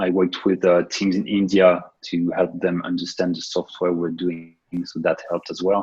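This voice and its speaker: A man with a French accent, very deep and low in pitch, monotone and flat, at a moderate pace. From France. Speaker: software developer and consultant. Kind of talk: interview. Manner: hesitant, many fillers.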